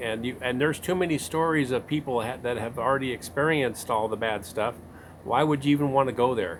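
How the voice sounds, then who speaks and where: At a fairly quick pace, an unremarkable speaking voice talks with ordinary pitch variation. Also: man. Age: 60s. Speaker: interviewer, channel owner. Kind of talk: interview.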